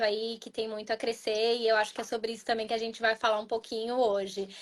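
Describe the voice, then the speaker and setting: A woman at a moderate pace. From Brazil. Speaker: pharma consultant, webinar co-host. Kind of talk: live webinar chat.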